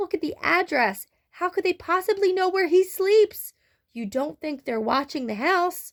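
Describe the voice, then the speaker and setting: On a very clean recording with a silent background and a dry, close sound with no echo, a woman uses a put-on character voice that is squeaky, shaky and extremely high-pitched, with lively intonation at a moderate pace. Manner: worried, fearful.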